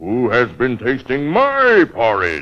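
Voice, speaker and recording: Against a quiet background, a man puts on a character voice at a medium pitch and a fairly slow pace. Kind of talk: storybook narration. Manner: roaring, angry.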